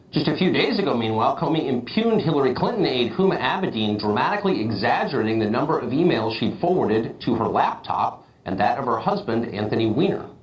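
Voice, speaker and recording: Over noticeable background noise, the voice races at a very fast pace with hardly any pauses and very wide pitch swings. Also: man, fairly high pitch for a man. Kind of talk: TV news commentary monologue.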